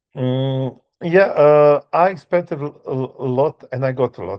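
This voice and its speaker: A man with a non-native accent speaks at a very slow pace. His pitch is medium, and his intonation is fairly even. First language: not English. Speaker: author and music tour worker. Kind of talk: interview. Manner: halting, many fillers.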